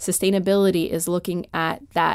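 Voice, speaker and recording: In a Canadian accent, a woman speaks in a plain, everyday voice at a moderate pace, her pitch fairly low and her intonation fairly even, on a very clean recording with a silent background. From Canada. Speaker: healthcare sustainability executive. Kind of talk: radio interview.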